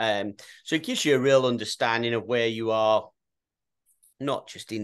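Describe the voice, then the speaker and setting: A man with an English accent and fairly even intonation against a quiet background. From England. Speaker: youth soccer coach. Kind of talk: casual chat.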